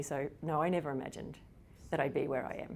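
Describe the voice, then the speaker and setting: This woman's pitch is very deep and low. She talks with an Australian accent. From Australia, rural Victoria. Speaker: psychology professor. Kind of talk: interview.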